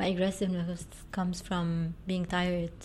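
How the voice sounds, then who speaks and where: The pace is moderate as this woman talks. There is a somewhat breathy quality to her voice. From Lebanon (Beirut). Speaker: media company co-founder and CEO. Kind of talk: interview.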